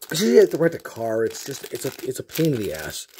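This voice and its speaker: Man at a moderate pace over noticeable background noise. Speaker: card game YouTuber; card game content creator. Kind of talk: casual chat. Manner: halting. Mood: excited, joking.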